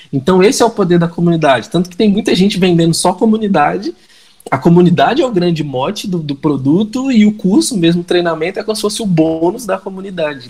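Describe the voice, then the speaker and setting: Noticeable background noise sits behind a man talking at a very fast pace. His pitch is high, with ordinary variation. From Minas Gerais, Brazil. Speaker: digital marketing entrepreneur. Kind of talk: podcast interview. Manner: animated.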